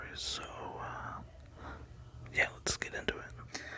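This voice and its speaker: A man whispers over noticeable background noise. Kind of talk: ASMR collection showcase. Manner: whispering, relaxing.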